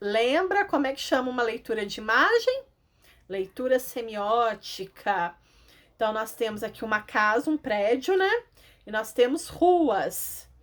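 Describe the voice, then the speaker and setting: Ordinary pitch variation in a woman's voice, a normal speaking voice. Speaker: schoolteacher. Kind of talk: lesson for children.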